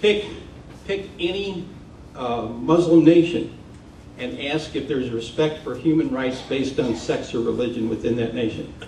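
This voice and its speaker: A man talks at a moderate pace with lively intonation. There is audible room echo and noticeable background noise. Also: medium pitch for a man. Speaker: professor and environmental consultant. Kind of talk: public talk.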